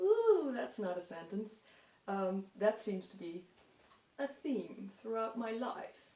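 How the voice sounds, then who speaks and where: With a Dutch accent, a woman talks at a fairly slow pace and medium pitch over noticeable background noise. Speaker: gardening vlogger. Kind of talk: casual vlog talk.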